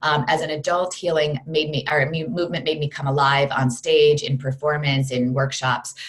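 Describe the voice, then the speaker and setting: A woman with a very deep, low pitch talks at a moderate pace with fairly even intonation and hardly any pauses. Noticeable background noise is present. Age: 40s. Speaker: fitness program creator, former Broadway performer. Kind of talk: interview. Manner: talkative.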